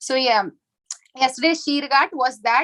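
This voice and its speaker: A woman raises and projects her high-pitched voice at a moderate pace. Her tone is bright and sharp, in a dry, close sound with no echo. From South India, Chennai. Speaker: spiritual teacher. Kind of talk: lecture with virtual pilgrimage tour.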